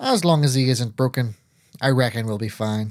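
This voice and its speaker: This is a put-on character voice with a drawl. It keeps a moderate pace and ordinary pitch variation. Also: man, medium pitch for a man. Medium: read story. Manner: dry, drawling, sarcastic.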